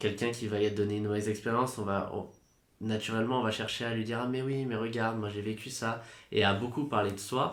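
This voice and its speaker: Speaking at a fairly quick pace, a man holds a medium pitch with monotone, flat intonation amid audible room echo. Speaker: podcast guest. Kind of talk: casual chat. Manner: loud.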